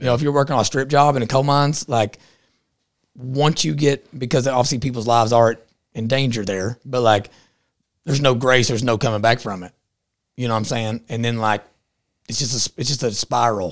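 With an Appalachian accent, the speaker moves at a fairly quick pace, using ordinary pitch variation and long, frequent pauses. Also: man, medium pitch for a man. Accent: Appalachian Southern US. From southeastern Kentucky. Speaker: podcaster and political activist. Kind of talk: casual interview chat. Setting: studio in-person. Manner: fast talker.

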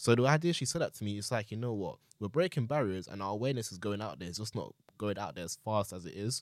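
A man speaks at a very fast pace with lively intonation and a fairly low pitch. The recording is very clean and dry, close with no echo, over a silent background. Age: 20s. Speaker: podcast guest, young father. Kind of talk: casual chat. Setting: studio.

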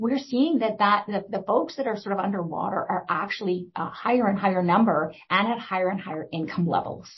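The speech races along at a very fast clip. Its tone is passionate and somewhat breathy. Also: woman. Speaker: executive director, social planning council. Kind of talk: panel discussion. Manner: fast talker, passionate.

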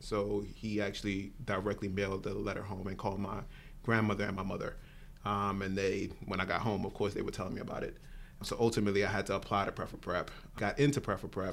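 In a New York accent, a man rattles along at a very fast pace, his fairly low voice flat and monotone. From Brooklyn, New York. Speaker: nonprofit executive director. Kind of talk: casual interview.

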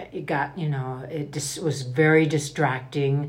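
This woman has a very deep, low voice that is somewhat breathy. Her pace is fairly slow. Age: 80s+. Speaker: grandmother, guest. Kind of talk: personal interview. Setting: in person, Idaho.

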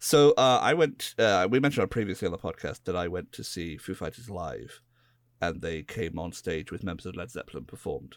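Fairly quick speech in a British accent with very wide pitch swings, on a very clean recording with a silent background. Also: man, very deep, low pitch for a man. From Britain. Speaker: podcast co-host. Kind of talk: casual chat. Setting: voice chat.

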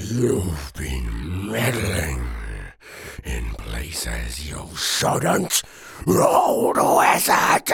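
A man shouts in a put-on character voice, raspy and very deep. He speaks at a very slow pace. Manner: screaming.

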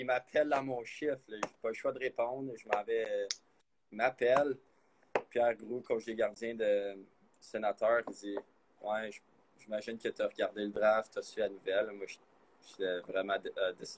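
A man with a Quebec accent at a moderate pace, with long, frequent pauses and big swings in loudness, in a dry, close sound with no echo. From Quebec, Blainville. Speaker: college hockey goaltender. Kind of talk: interview.

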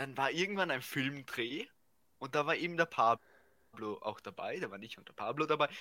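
A man's bright, sharp-toned voice. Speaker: podcast co-host. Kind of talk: casual chat.

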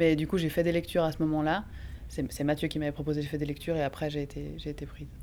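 Very deep and low in pitch, this woman speaks with a dark, mellow tone and vocal fry. Her delivery is very fast, with monotone, flat intonation. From Geneva area, French-speaking Switzerland. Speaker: actress and playwright. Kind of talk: casual interview.

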